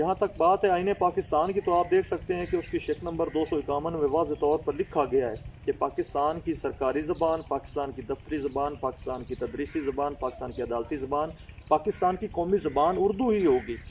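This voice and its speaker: A man with a Punjabi accent and a fairly high pitch talks at a moderate pace, with ordinary pitch variation and hardly any pauses. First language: Punjabi (speaking Hindi). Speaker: language activist. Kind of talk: interview answer. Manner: formal.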